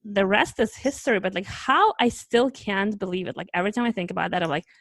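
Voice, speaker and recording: A woman with a Russian accent speaks at a medium pitch and a very fast pace, with hardly any pauses, ordinary pitch variation, and a dry, close sound with no echo. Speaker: travel podcast host. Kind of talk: casual chat. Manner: animated.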